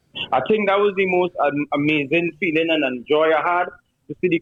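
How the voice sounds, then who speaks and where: A man with a Trinidadian accent talks at a fairly quick pace with ordinary pitch variation. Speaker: soca artist. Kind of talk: casual interview chat.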